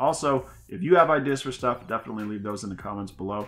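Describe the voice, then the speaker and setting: A man's fairly low voice with ordinary pitch variation, faint music in the background. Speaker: reaction video host. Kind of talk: casual chat, reaction video commentary. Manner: friendly, upbeat. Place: home room.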